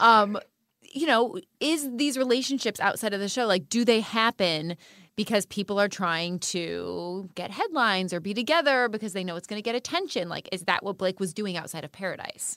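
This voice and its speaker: Recorded very cleanly against a silent background, a woman speaks at medium pitch and a moderate pace, with lively intonation and a bright, sharp tone. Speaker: podcast co-host, former reality show contestant. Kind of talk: casual chat.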